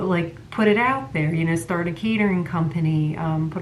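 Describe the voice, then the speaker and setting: At a moderate pace, a woman with a fairly low pitch speaks amid noticeable background noise and audible room echo. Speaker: psychic medium and tarot reader. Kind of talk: tarot reading monologue. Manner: halting, many fillers.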